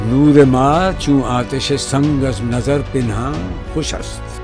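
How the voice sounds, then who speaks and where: Music plays in the background as a man speaks. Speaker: poetry reciter. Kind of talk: poetry reading.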